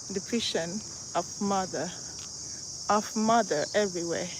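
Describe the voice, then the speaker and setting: Over noticeable background noise, a woman with a Nigerian accent talks at a very slow pace and medium pitch. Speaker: vlogger. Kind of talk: live stream walking vlog. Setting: outdoors. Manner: animated.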